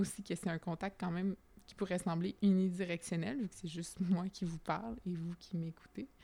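A woman speaks with a Quebec accent. Her tone is dark and mellow, and her intonation fairly even. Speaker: podcast host. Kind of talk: casual monologue. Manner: spontaneous, hesitant.

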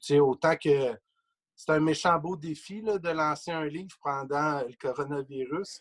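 This is a plain, everyday voice, a man's with a fairly high pitch. He speaks at a fairly slow pace with ordinary pitch variation and big swings in loudness. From Quebec, Trois-Pistoles (Lower St. Lawrence). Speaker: sports journalist and author. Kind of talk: casual interview.

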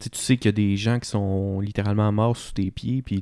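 Recorded very cleanly against a silent background, the voice has a Quebec accent, a dark, mellow tone and a fairly slow pace. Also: man. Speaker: podcast co-host. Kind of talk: casual chat.

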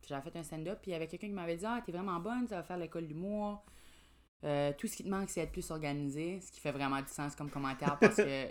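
A woman talks at a very fast pace with a very deep, low pitch. Her pitch varies in an ordinary way while her loudness swings widely. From New Brunswick, Grand Falls (Acadian French). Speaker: comedian. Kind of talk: casual chat.

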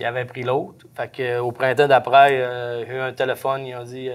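A man speaks with a Saguenay–Lac-Saint-Jean accent. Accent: Saguenay–Lac-Saint-Jean Québécois French. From Quebec, Lac-Saint-Jean. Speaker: forestry truck driver. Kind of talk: interview. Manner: halting.

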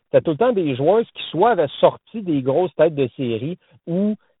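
This man speaks high for a man and at a moderate pace. His pitch swings very widely. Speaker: tennis columnist. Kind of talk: casual chat. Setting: phone call from a car. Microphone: phone line.

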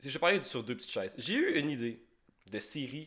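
A man's very fast speech in a Quebec accent, bright, sharp tone and lively intonation. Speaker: podcast host. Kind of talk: casual chat. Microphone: sound cutting out.

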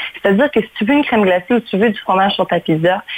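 A woman at a medium pitch, against noticeable background noise. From Mauritius, then Canada from age 9. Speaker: cooking enthusiast. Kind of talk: radio interview.

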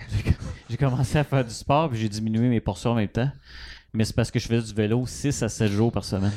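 Talking at a very fast pace, a man has a dark, mellow tone and fairly even intonation. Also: medium pitch for a man, very clean recording, silent background. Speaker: podcast co-host. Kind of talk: casual chat.

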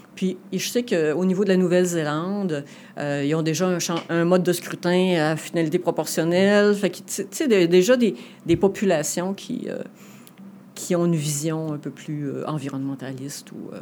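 Moving at a moderate tempo, the speech carries a dark, mellow tone. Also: woman, fairly low pitch for a woman, ordinary pitch variation. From Quebec City region. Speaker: political candidate. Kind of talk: interview. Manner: halting.

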